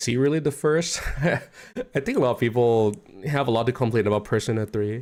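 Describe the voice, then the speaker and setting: On a very clean recording with a silent background, a man with a non-native accent and medium pitch speaks at a fairly quick pace, with very even loudness and ordinary pitch variation. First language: not English. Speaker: streamer reacting to a video. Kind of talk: casual livestream commentary. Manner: halting.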